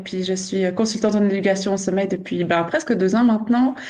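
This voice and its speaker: A woman with a Swiss accent speaks at a medium pitch with fairly even intonation. Room echo is audible. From Switzerland. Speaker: nurse and sleep consultant, podcast co-host. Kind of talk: casual podcast chat.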